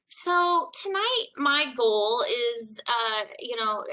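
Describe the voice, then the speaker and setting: This woman's voice has a bright, sharp tone. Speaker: city HR staff presenter. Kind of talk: presentation at public board meeting.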